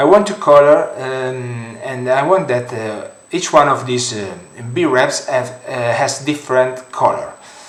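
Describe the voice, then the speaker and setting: A man speaks with ordinary pitch variation. There is noticeable background noise and audible room echo. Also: medium pitch for a man, fairly slow pace. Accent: strong Italian. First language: Italian. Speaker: 3D modeling tutorial creator. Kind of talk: software tutorial. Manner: halting, many fillers.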